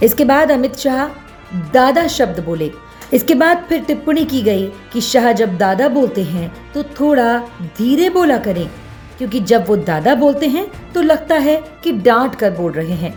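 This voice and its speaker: Over music in the background, a woman speaks in a high pitch. Her voice makes very wide pitch swings. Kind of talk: TV news report voice-over.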